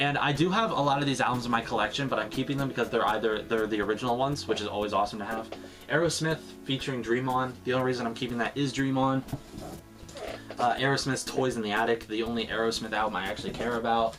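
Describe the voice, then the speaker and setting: Over music in the background, a man of medium pitch speaks at a very fast pace with ordinary pitch variation. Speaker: vinyl collector YouTuber. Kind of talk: casual haul video. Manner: casual with many fillers.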